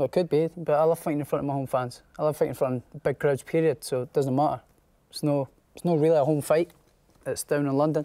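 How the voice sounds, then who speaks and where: Very fast and monotone, a man with a Scottish accent talks with flat intonation, a fairly high pitch and a dark, mellow tone. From Scotland, near Edinburgh; Scotland. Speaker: professional boxer. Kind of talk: interview. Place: studio.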